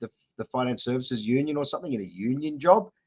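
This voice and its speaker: A man with an Australian accent talks at a medium pitch. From Western Sydney, Australia. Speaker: political candidate. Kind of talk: interview.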